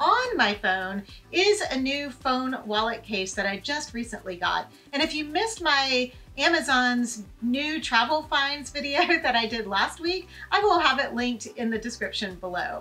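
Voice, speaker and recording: A raised, projected voice with very wide pitch swings, delivered at a moderate pace. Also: woman. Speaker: travel tips vlogger. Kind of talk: tutorial. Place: home room.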